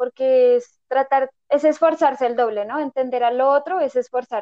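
High-pitched female speech with fairly even intonation, at a fairly slow pace. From Colombia. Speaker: podcast co-host. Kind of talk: casual chat.

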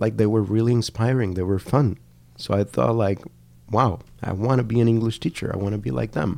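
Dark and mellow in tone, the voice moves at a fairly quick pace with ordinary pitch variation and a Spanish accent. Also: man, fairly low pitch for a man. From Colombia, Cali. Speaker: language education researcher. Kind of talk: interview conversation. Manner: halting, many fillers.

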